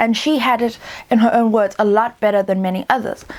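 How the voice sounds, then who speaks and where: There is noticeable background noise behind a woman speaking. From South Africa. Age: 20s. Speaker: literature student, book reviewer. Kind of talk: casual talk to camera.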